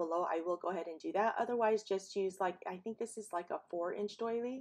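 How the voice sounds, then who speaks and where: With ordinary pitch variation, this woman's voice stays at a medium pitch. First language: not English. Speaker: paper crafting YouTuber. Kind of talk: tutorial voiceover. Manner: casual, with frequent fillers.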